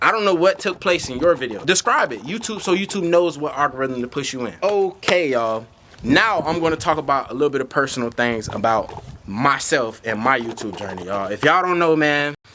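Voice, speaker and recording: Through noticeable background noise, a man talks at a fairly quick pace in a fairly high voice with very wide pitch swings. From Florida. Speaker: YouTube creator. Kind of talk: tutorial. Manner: fast; animated.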